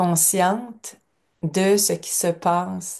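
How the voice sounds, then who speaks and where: Against a quiet background, a woman speaks in a fairly low pitch with a dark, mellow tone. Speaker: lecturer. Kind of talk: lecture. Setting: at home.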